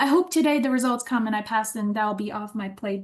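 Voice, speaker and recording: Fairly quick, somewhat breathy female voice, fairly high in pitch, with ordinary pitch variation. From Ukraine. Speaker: teacher in training. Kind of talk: casual chat. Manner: halting.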